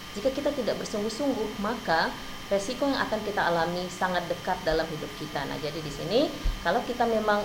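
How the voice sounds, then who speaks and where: Amid noticeable background noise and audible room echo, a woman with a non-native accent speaks fairly high in pitch with lively intonation. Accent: non-fluent Indonesian, self-described. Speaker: university lecturer. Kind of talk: lecture.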